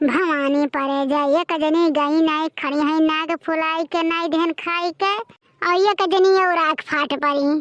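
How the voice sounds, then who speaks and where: Using a cartoonish character voice, a woman speaks at an extremely high pitch and a fairly slow pace with fairly even intonation in a dry, close sound with no echo. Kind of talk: cartoon comedy. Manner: wailing, exclamatory.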